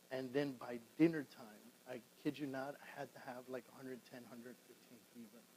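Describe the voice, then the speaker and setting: A man speaks at a fairly quick pace with a medium pitch and a dark, mellow tone. His intonation is monotone and flat, while his loudness swings widely. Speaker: real estate show host. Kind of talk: casual chat.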